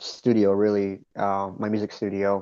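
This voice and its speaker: At a moderate pace, a man speaks in a fairly low pitch with a dark, mellow tone. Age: 30s. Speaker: aspiring real estate investor and musician. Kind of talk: group video call sharing. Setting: video call from home music studio. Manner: halting, many restarts.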